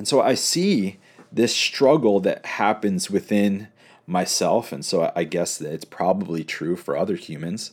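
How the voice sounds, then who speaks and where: At a fairly slow pace, a normal speaking voice carries lively intonation. The recording is very clean, with a silent background. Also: man, fairly low pitch for a man. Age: 30s. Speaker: pastor and podcast host. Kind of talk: reflective solo monologue. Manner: casual, conversational.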